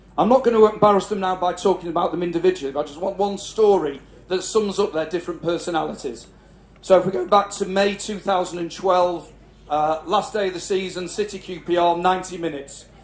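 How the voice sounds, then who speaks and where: A man's high-pitched voice in a northern English accent, at a fairly quick pace with fairly even intonation and audible room echo. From northern England, Cheshire. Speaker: father of the celebrant giving a speech. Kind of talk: family celebration speech. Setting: garden party with live audience. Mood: warm, proud, humorous. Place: tent. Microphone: handheld.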